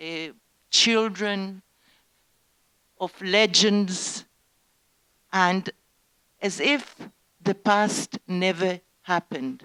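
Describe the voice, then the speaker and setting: Using an Israeli accent, a woman speaks at a very slow pace with long, frequent pauses, a medium pitch, ordinary pitch variation, and a bright, sharp tone, in a dry, close sound with no echo. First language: Hebrew. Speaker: Holocaust survivor's daughter giving testimony. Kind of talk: talk to school students. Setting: education centre with students. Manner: halting.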